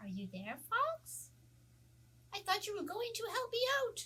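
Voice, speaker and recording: Cartoonish character voice from a woman, extremely high in pitch, at a moderate pace. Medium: puppet.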